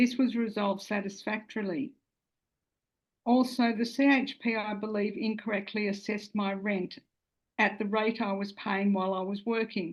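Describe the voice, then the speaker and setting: Speaking at a moderate pace, a woman with an Australian accent uses a fairly high, somewhat breathy voice with fairly even intonation. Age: 60s. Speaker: social housing tenant giving testimony. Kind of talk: testimony. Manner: formal.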